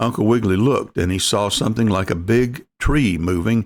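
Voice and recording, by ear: The speaker is reading aloud in a natural voice, with ordinary pitch variation. The background is quiet.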